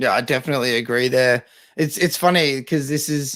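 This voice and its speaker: With an Australian accent, a man speaks at medium pitch. His pace is fairly quick. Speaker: football podcast co-host. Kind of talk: casual chat.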